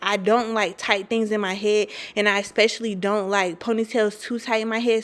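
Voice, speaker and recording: This woman talks at a moderate pace and medium pitch. Her intonation is monotone and flat. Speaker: hair and beauty vlogger. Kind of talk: tutorial voiceover. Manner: casual, chatty.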